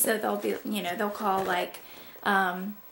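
A woman with a Southern US accent, fairly even intonation and a moderate pace, over light background noise. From Georgia, USA. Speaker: mother. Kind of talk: casual talk to camera. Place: home room. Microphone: camera far.

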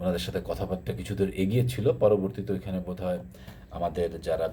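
The voice has a dark, mellow tone with vocal fry. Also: man. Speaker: YouTuber discussing water issues. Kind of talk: informal explainer talk.

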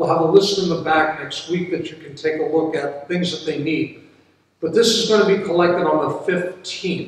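Heard through strong room echo, a man with a high pitch speaks at a moderate pace. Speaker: pastor. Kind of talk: church announcements. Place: church. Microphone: camera far.

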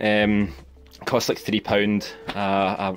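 Faint music sits behind a man with a Scottish accent and a fairly low voice. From Scotland. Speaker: toy and prop hobbyist. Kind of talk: casual tutorial talk to camera. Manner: monotone. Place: home room. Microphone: phone near.

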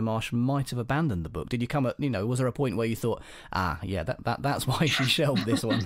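A man with an English accent on a very clean recording with a silent background. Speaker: podcast host and crime novelist. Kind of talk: casual chat.

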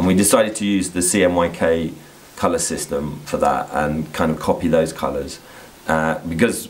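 A very deep, low pitch marks this voice. It belongs to a man. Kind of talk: interview answer. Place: workshop.

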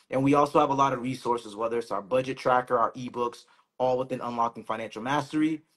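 A man at a very fast pace, with fairly even intonation. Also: quiet background. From Boston. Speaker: finance professional; co-host of finance brand. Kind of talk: casual chat. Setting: Instagram live stream. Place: home room.

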